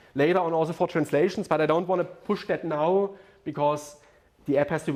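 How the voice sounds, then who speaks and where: Noticeable background noise accompanies a man's voice. His intonation is fairly even. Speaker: software developer giving a talk. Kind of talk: conference talk. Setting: stage with audience at a meetup. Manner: fast; halting, many fillers.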